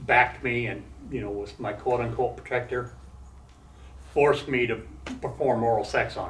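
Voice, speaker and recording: With vocal fry and fairly even intonation, a man talks at a moderate pace and medium pitch amid audible room echo. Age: 60s. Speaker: former prisoner and recovering addict speaking to students. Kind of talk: talk and Q&A with college class. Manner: halting, with many fillers and restarts.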